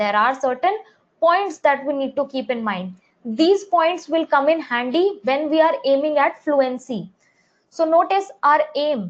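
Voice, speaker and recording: Speaking with an Indian accent, a woman uses a high pitch and lively intonation. Her pace is fairly slow. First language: Hindi. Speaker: English teacher. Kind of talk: live online class.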